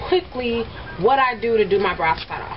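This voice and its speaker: Noticeable background noise sits under a woman's voice. Her fairly high pitch moves in very wide swings. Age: 20s. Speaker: beauty vlogger and makeup artist. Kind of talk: makeup tutorial. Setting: at home in bedroom. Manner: fast; casual chatty. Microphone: old cheap camera.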